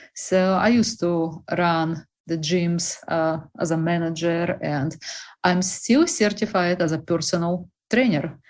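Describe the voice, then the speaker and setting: A woman speaks with a Russian accent and ordinary pitch variation. The background is quiet. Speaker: bakery representative. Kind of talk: interview.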